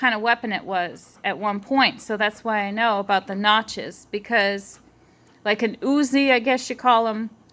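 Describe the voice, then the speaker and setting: A woman with an American accent, fairly high in pitch, with a bright, sharp tone, ordinary pitch variation and a moderate pace. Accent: Massachusetts accent, comes out when nervous. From Massachusetts. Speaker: eyewitness vlogger. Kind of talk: personal testimony. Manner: rambling, hesitant.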